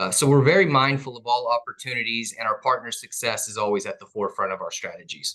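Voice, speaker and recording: A man in a Southern US accent, bright and sharp in tone. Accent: Southern drawl. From East Texas (Gun Barrel City). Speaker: telecom executive. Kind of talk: interview.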